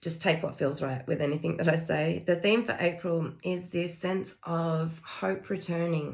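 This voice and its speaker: The woman's very deep, low voice carries vocal fry and fairly even intonation. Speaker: spiritual energy reader. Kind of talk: intuitive energy reading monologue. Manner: hesitant with fillers.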